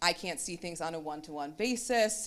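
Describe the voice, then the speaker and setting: A woman talks at a moderate pace in a fairly low pitch. Her intonation is lively. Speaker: marketing executive. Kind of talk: conference panel discussion. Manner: loud.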